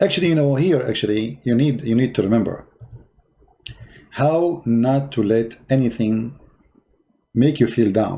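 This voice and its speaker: A man speaks at a medium pitch with a dark, mellow tone. His loudness is very even, and he takes long, frequent pauses. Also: ordinary pitch variation, moderate pace. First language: Arabic. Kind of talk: casual livestream chat, mocking and motivational. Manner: animated, sarcastic.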